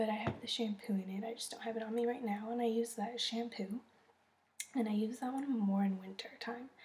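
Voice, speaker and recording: Whispering at a moderate pace, a woman's voice comes out breathy. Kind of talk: casual talk to camera.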